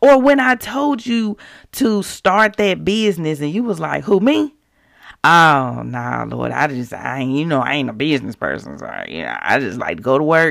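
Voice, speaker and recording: A woman talks at a moderate pace in a very clean recording where the background is silent. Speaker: podcast host, devotional teacher. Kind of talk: devotional talk. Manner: authoritative; animated.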